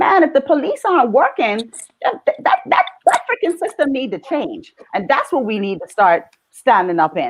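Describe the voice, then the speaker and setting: With a Bahamian accent, a woman speaks in an animated tone at a moderate pace, her pitch swinging very widely. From Bahamas. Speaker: mother in panel discussion. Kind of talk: panel discussion.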